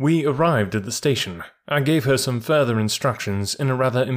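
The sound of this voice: What we hear is an unforced reading voice.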